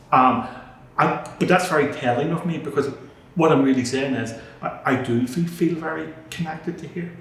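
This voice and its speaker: At a moderate pace and with fairly even intonation, the speech has long, frequent pauses, along with audible room echo and noticeable background noise. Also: man. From Northern Ireland, Belfast. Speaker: charity chief executive. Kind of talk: interview. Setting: board room. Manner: halting, repeats words.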